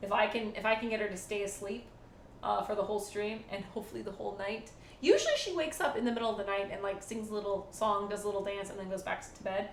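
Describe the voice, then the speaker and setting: In a room with audible echo, a woman talks at a very fast pace and a medium pitch. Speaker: live streamer. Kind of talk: casual live stream chat. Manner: quiet, hushed.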